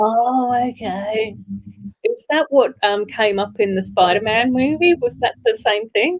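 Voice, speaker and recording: A woman with an Australian accent talks at a fairly slow pace, the sound dry and close with no echo. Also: ordinary pitch variation. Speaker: livestream co-host reading chat. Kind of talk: casual livestream chat.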